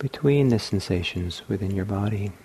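A man's fairly low voice sounds calm, dark, mellow and somewhat breathy. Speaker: meditation teacher. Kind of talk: guided meditation. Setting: meditation hall at a retreat center. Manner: slow, soft-spoken, calm and unhurried with long pauses; gentle, soothing, inviting.

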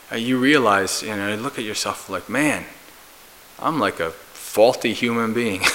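In a normal speaking voice and with an American accent, a man speaks at a moderate pace, his medium pitch showing ordinary variation. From US, New Jersey. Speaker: Buddhist monk and meditation teacher. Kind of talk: dharma talk.

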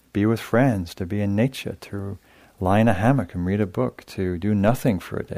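A natural voice reading aloud.

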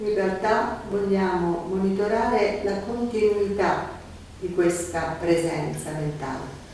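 Over noticeable background noise, a woman speaks at a very slow pace in a calm tone and a medium pitch. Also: ordinary pitch variation. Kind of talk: guided meditation, consecutive Italian interpreting. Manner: calm, measured, soft-spoken, gently paced, echoing the teacher's phrases.

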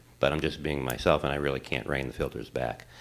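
In a very clean recording with a silent background, a man speaks very deep and low with vocal fry. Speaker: audience member, parent. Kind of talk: question from audience. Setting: meditation hall with audience.

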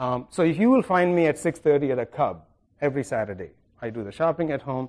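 The background is quiet. A man talks at a fairly quick pace with lively intonation. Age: 50s. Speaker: meditation teacher and psychiatrist. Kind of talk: dharma talk. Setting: meditation center with audience. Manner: halting, with many fillers.

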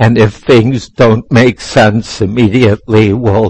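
A man speaks at a very slow pace in a fairly low, somewhat breathy voice with fairly even intonation, recorded dry and close with no echo. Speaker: meditation teacher. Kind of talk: guided meditation. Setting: meditation center, live in a room with a group. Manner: slow, soft-spoken, calm and gentle with long pauses; patient, instructive, inviting and unhurried.

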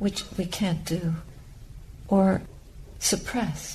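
A woman speaks at a medium pitch. Her tone is dark and mellow, and somewhat breathy. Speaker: Buddhist nun giving a dharma talk. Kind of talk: dharma talk, calm and reflective teaching to a meditation group.

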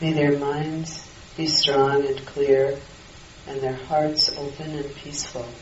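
A woman's very deep, low voice, calm and gentle in tone, very slow and monotone with flat intonation, amid noticeable background noise. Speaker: meditation teacher. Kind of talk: guided loving-kindness meditation. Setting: retreat hall with a group of participants. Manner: slow, calm, gentle, with long pauses; soft-spoken, soothing, unhurried.

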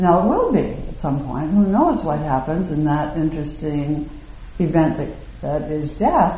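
A woman with a very deep, low pitch speaks at a fairly slow pace with ordinary pitch variation over noticeable background noise. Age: 60s. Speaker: meditation teacher. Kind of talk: dharma talk. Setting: meditation hall with audience.

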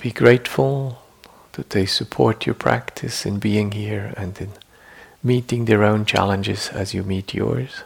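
Somewhat breathy and fairly low in pitch, a man speaks in a soothing, gentle tone at a fairly slow pace with ordinary pitch variation. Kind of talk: guided meditation. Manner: slow, soft-spoken, soothing, with long pauses; gentle, deliberate, formal, reflective.

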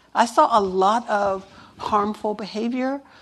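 An unremarkable speaking voice from a woman, fairly high in pitch with ordinary pitch variation. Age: 60s. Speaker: meditation teacher. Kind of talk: dharma talk.

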